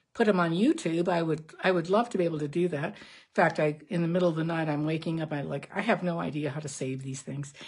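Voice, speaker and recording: A woman with a fairly low, somewhat breathy voice speaks at a fairly quick pace. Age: 70s. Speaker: card-making crafter. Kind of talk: tutorial. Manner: casual, halting with fillers.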